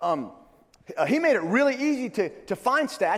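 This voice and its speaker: There are very wide pitch swings in this man's voice. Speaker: church security trainer. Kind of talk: conference presentation. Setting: stage with audience. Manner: fast; halting with many fillers.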